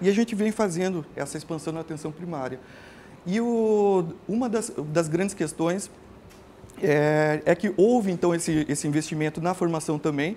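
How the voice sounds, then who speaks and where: With a dark, mellow tone and a high pitch, a man speaks at a moderate pace with ordinary pitch variation. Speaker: family physician and lecturer. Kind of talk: lecture. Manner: halting, many filler hesitations.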